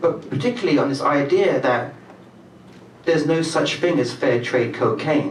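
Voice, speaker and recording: A man's fairly high-pitched voice at a moderate pace, with noticeable background noise. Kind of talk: spoken introduction to a live audience.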